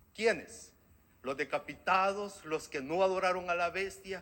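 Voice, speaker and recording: A man uses a raised, projected voice with a bright, sharp tone. The recording is very clean, with a silent background. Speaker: preacher. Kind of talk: sermon.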